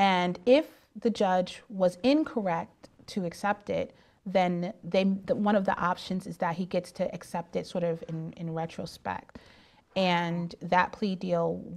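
Speaking at a fairly slow pace, a woman with an American accent shows ordinary pitch variation. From upstate New York. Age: 40s. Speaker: attorney. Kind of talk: interview. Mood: calm, explanatory. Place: studio.

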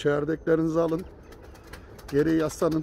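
At a moderate pace, a man speaks in a dark, mellow tone, the sound dry with no echo and light background noise. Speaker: pigeon vlogger host. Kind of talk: casual vlog chat. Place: garden. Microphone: phone near.

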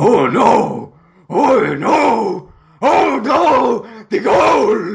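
In a put-on character voice, a man speaks at a high pitch. His pace is very slow. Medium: fan dub. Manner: frantic, greedy.

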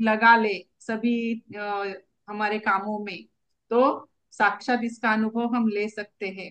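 A woman's fairly high-pitched voice. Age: 50s. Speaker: acupressure student. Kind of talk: reading aloud. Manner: formal.

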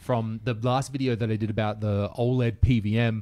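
A man at medium pitch with an Australian accent, moderate pace and a quiet background. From rural Australia. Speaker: podcast host. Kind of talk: casual chat. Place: home room. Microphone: studio mic.

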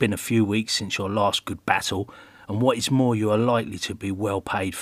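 The passage is read aloud in a natural voice, the intonation fairly even.

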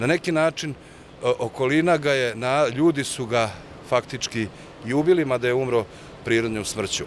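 Amid light background noise, a man talks at a moderate pace with ordinary pitch variation in a dry sound with no echo. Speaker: interviewee. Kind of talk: interview answer. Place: street. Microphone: handheld.

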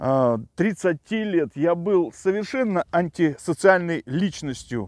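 Very wide pitch swings fill this man's speech at a very slow pace. The recording is very clean and dry, with a silent background and a close sound with no echo. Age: 40s. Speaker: tech blogger. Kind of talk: personal testimony. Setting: outdoors by a river.

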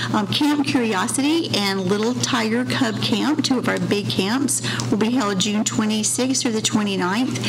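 Noticeable background noise sits behind a woman as she talks. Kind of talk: formal report at public meeting. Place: meeting room. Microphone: podium.

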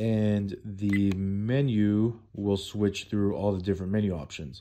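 The man's voice is fairly low in pitch, dark and mellow in tone, with fairly even intonation. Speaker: product reviewer. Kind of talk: tutorial. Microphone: phone near.

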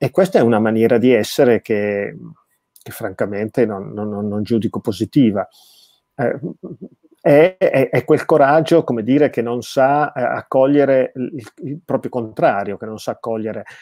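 With a quiet background and a dry sound with no echo, a man speaks at a fairly slow pace with long, frequent pauses. His pitch is medium, with ordinary pitch variation. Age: 50s. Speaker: theologian and philosopher, author; interview guest. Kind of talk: interview about his book. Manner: frequent hesitations and word repetitions. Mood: reflective, thoughtful. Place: home room. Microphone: video call.

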